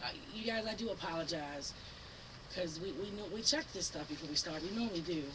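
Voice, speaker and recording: A woman with an American accent at a fairly quick pace, her pitch swinging very widely, with noticeable background noise and audible room echo. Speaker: online talk show host. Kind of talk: casual chat. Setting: live-streamed studio show. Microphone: mic problems, audience can barely hear.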